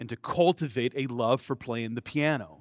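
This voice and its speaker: A man with a General American accent speaks at medium pitch in an unremarkable speaking voice. The recording is very clean with a silent background and a dry, close sound with no echo. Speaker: preacher. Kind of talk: sermon. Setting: church with congregation.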